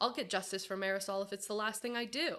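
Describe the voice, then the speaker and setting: A female-sounding put-on character voice rattles along at a very fast pace. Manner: vengeful, determined.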